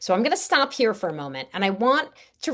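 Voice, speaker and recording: A woman at medium pitch with a slight New York accent. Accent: Staten Island New York, slight. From New York, Staten Island. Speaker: networking coach. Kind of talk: webinar presentation. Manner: animated.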